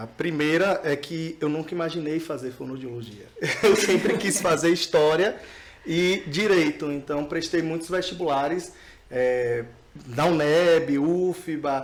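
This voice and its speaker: Noticeable background noise sits behind a man with a fairly high pitch. He talks at a fairly slow pace with ordinary pitch variation. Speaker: speech therapist. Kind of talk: podcast interview.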